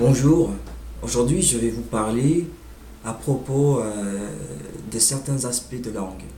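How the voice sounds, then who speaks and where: A man at medium pitch speaking at a very slow pace with ordinary pitch variation and long, frequent pauses, with audible room echo and noticeable background noise. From United States. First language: English (speaking French). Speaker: language learner vlogger. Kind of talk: informal monologue on language. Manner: halting, many hesitations.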